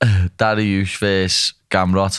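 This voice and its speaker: In a Liverpool accent, a man talks at a fairly low pitch. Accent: Liverpool (Scouse). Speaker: UFC fighter. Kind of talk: casual podcast talk.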